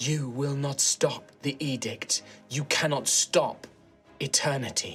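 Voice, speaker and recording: A man's shrill, put-on character voice at a fairly high pitch, fairly slow, with clear music in the background. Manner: monotonous, inexorable, echoing.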